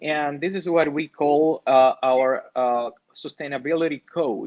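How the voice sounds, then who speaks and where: A man with a Dominican accent speaks at a fairly slow pace. His pitch is fairly high with ordinary variation. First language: Spanish. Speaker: rum company representative. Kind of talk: presentation. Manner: halting, many fillers.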